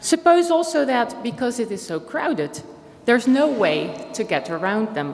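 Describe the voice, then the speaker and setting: A woman speaks in a Dutch accent with very wide pitch swings. There is audible room echo and noticeable background noise. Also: fairly high pitch for a woman, moderate pace. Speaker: philosophy professor. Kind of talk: conference talk. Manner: formal.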